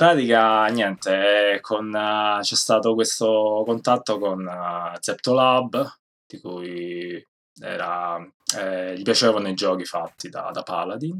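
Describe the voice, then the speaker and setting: The man speaks at a very slow pace with a fairly low pitch. His loudness swings a great deal. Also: ordinary pitch variation. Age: 30s. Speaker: game programmer. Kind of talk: interview.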